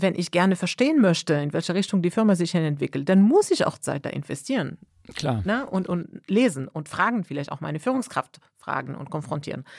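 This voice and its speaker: A woman with a fairly low pitch talks at a moderate pace in an animated tone with lively intonation, recorded very cleanly against a silent background. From Morocco. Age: 40s. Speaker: manager. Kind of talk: interview.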